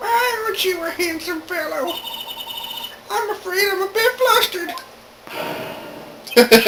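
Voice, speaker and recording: A put-on character voice that sounds female, with extremely high pitch, moderate pace, and long, frequent pauses. Loud background noise runs underneath. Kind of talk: video game let's play with character voice acting. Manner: talkative.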